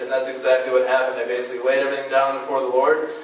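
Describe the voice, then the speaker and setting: This is a man speaking. The room echo is audible. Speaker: guest. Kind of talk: sermon. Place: church.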